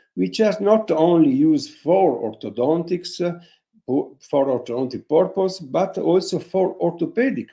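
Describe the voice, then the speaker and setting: Speaking with an Italian accent at a moderate pace, a man uses a dark, mellow tone with very wide pitch swings. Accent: Italian accent, non-native English. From northern Italy, Vicenza. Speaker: orthodontist. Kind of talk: webinar lecture. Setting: online webinar. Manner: halting, with many fillers; reading from notes.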